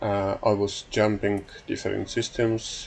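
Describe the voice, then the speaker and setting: A man talks with a non-native accent. He goes very slowly. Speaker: gaming YouTuber. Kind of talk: casual gameplay commentary. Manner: halting, many filler sounds.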